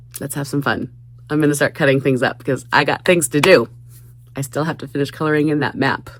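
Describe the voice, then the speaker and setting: A woman's very deep, low voice at a very fast pace, with fairly even intonation. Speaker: crafting YouTuber. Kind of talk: casual craft vlog. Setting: basement craft room.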